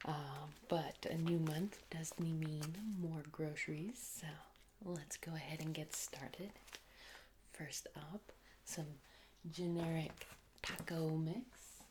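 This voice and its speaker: The speaker is soft-spoken and talks at a very slow pace. Long, frequent pauses break up the speech. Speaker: ASMR content creator. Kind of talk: casual talk to camera, ASMR grocery unboxing.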